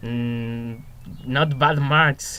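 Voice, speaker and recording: A man speaks with a Spanish accent in a medium pitch. His tone is bright and sharp, and his intonation is fairly even. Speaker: student teacher. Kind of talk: reflective monologue. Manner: hesitant, many fillers.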